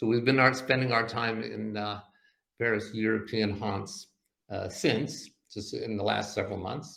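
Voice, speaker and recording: A man talks in a medium pitch with a bright, sharp tone. His pace is moderate and his intonation fairly even. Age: 60s. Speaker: comedy magician. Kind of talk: casual chat. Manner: halting, many fillers.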